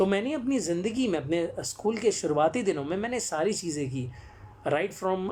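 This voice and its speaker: Lively intonation marks this man's speech, which sits at a high pitch. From Jamshedpur, Jharkhand, eastern India. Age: 20s. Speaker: actor and storyteller. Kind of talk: live-stream talk. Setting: live social media broadcast. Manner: frequent hesitations.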